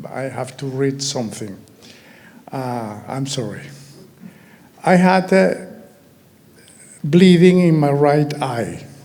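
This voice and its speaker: A man with a Venezuelan accent, fairly high in pitch, with lively intonation, big swings in loudness, a very slow pace, long, frequent pauses and audible room echo. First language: Spanish. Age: 80s+. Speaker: patient. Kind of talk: testimony. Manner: halting.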